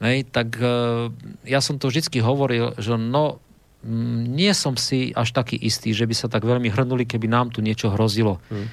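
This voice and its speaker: A man speaks at a medium pitch and a fairly slow pace, his intonation fairly even, on a very clean recording with a silent background. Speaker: retired army officer and diplomat. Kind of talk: radio talk show interview. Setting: studio. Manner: hesitant, many fillers.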